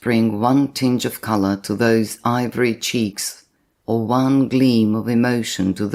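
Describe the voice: Plain reading aloud with fairly even intonation, against a quiet background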